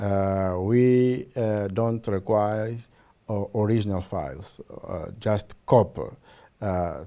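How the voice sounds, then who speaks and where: Very clean recording, silent background, a man with a fairly low pitch and a dark, mellow tone, speaking at a very slow pace. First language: Portuguese. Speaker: government program representative. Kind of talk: interview. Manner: halting, many fillers.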